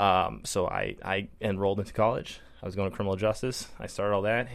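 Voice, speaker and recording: Speaking in a fairly low voice, a man has an American accent. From Minnesota. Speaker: veteran, hockey program organizer. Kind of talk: casual radio interview. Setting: radio studio.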